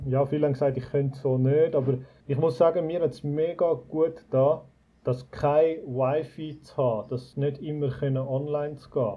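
The somewhat breathy voice moves at a fairly quick pace with fairly even intonation. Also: man. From Switzerland, Zurich Oberland. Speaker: resort owner, emigrant. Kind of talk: casual interview. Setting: video call.

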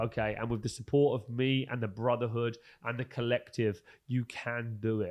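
Speaking at a moderate pace, a man keeps a medium pitch in a monotone with flat intonation. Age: 30s. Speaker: podcast host, entrepreneur. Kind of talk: motivational monologue. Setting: podcast studio.

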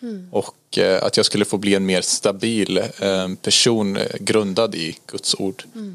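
A man talks at a very slow pace with hardly any pauses, in a very clean recording against a silent background. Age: 20s. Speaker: Bible school student. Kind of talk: casual interview.

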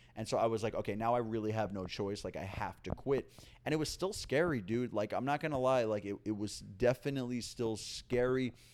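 In an unremarkable speaking voice with an American accent, a man speaks with hardly any pauses at a medium pitch, with ordinary pitch variation, on a very clean recording with a silent background. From New York City, Upper East Side. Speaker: stand-up comedian. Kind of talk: casual chat. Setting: at guest's home.

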